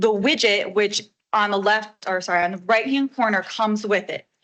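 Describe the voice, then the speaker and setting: A woman's loud, medium-pitched voice with a bright, sharp tone, fairly even intonation and a moderate pace. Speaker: village staff member presenting website update. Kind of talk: presentation to a board meeting.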